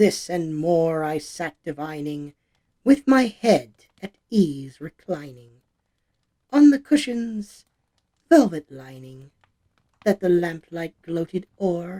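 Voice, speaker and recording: A put-on character voice sits at a middle pitch and moves at a fairly slow pace. Long, frequent pauses break up the speech. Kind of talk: dramatic poetry reading. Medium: dub.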